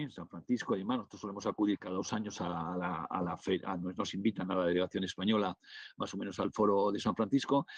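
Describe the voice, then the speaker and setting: A man at a very fast pace, his voice fairly low. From northern Spain. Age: 60s. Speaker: business angel investor and lecturer. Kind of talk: webinar Q&A. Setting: online webinar. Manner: halting, many fillers and restarts.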